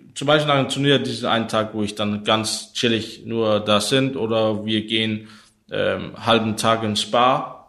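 Very slowly and with fairly even intonation, a man with a Danish accent speaks at medium pitch in a bright, sharp tone. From Denmark, Copenhagen. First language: Danish (speaking German). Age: 30s. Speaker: esports pro player. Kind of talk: interview. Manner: halting.

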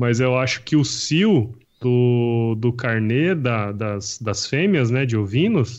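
Speaking very slowly, a man lets his pitch rise and fall in an ordinary way. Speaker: podcast host. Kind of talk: casual chat.

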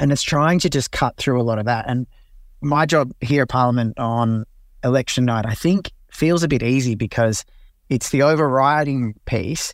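Speaking with an Australian accent, a man of medium pitch keeps a moderate pace, ordinary pitch variation and very even loudness on a very clean recording with a silent background. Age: 30s. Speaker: political journalist. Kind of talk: interview.

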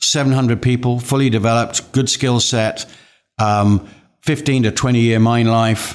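Heard in a very clean recording with a silent background, a man speaks at medium pitch and a moderate pace with fairly even intonation. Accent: English. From England. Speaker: mining company chairman. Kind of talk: interview. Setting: office. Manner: halting.

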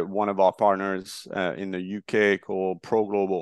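At a moderate pace, a man with a French accent speaks at a fairly low pitch, the sound dry and close with no echo and the background quiet. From France, Marseille. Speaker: startup founder. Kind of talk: interview.

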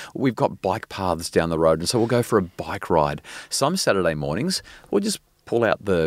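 A man speaks in a very deep, low pitch with an Australian accent. The sound is dry and close with no echo, on a very clean recording with a silent background. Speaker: parenting expert and psychologist. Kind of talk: interview. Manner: fast; animated.

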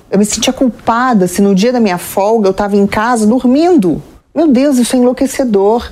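A woman speaks at a fairly quick pace in a plain, everyday voice, her pitch fairly high and its variation ordinary, her loudness very even. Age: 40s. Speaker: TV presenter and journalist. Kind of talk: interview.

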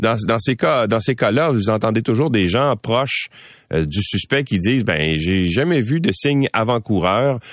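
Over a quiet background, a man with a Quebec accent speaks with lively intonation at a fairly slow pace. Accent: Québécois French. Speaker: radio news host. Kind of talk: news commentary and interviews.

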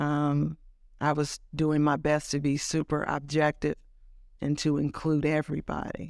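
In an American accent, a woman speaks fairly slowly at a very deep, low pitch, with monotone, flat intonation and very even loudness on a very clean recording with a silent background. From California, Oakland and Los Angeles. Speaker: music journalist and author. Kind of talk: interview.

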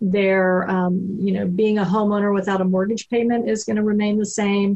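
A woman at a medium pitch talks at a moderate pace in a somewhat breathy voice. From Texas. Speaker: reverse mortgage specialist. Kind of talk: radio interview.

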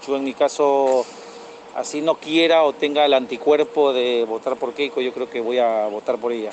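There is noticeable background noise as a man talks with ordinary pitch variation. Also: medium pitch for a man, moderate pace. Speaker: listener. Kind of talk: voice message.

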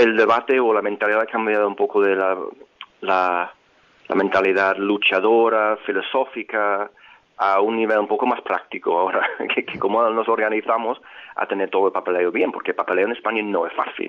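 Speaking with an English accent, a man keeps a fairly quick pace. His fairly low voice is monotone and flat in intonation. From England, Liverpool. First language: English (speaking Spanish). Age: 50s. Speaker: marketing professional. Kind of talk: interview.

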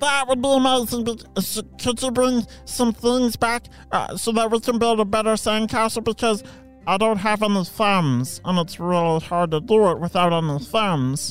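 A put-on character voice at a fairly high pitch and moderate pace, with clear music in the background. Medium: read story. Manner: excitable.

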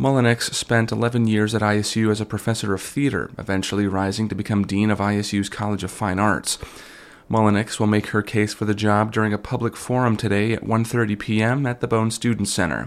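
A man talks at a very fast pace and fairly low pitch. His intonation is monotone and flat. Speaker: radio newsreader. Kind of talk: local radio newscast, scripted news reading. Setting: radio studio. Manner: formal, even-paced and neutral.

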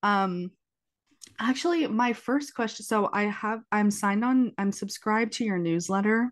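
An ordinary speaking voice at a moderate pace, with ordinary pitch variation and very even loudness. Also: woman, fairly high pitch for a woman. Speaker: podcast host. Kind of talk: casual interview chat. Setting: recorded remotely, cat in background.

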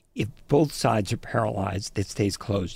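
The man's voice is somewhat breathy. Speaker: radio reporter. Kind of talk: interview. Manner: breathless, runs out of breath.

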